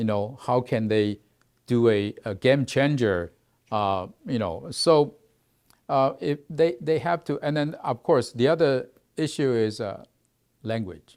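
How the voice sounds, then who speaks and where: In a very clean recording with a silent background, a man of medium pitch speaks at a fairly slow pace with lively intonation and long, frequent pauses. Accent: Mandarin. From Taiwan. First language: Mandarin. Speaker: research institute executive. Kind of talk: interview. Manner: halting.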